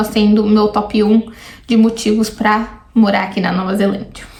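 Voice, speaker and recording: A woman talks with a fairly high pitch. Noticeable background noise runs under her voice. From Brazil, São Paulo. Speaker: YouTuber. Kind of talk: casual reaction vlog.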